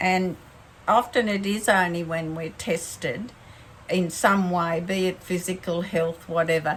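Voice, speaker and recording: A woman speaks somewhat breathily at a fairly slow pace, her intonation fairly even. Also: medium pitch for a woman. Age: 70s. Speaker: faith vlogger. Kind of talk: casual talk to camera. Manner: halting.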